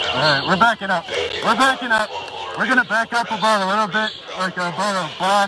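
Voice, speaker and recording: Over music in the background, a man raises and projects his high voice, talking at a fairly quick pace with ordinary pitch variation. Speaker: livestreamer at protest. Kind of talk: live street commentary. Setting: outdoors at night protest. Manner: loud. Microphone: muffled by face mask.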